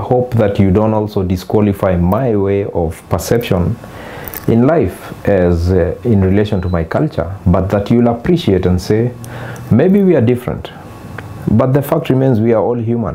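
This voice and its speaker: Over noticeable background noise, a man speaks at a moderate pace with a fairly low pitch, ordinary pitch variation and very even loudness. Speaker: painter. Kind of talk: personal reflection. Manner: measured, hesitant with fillers.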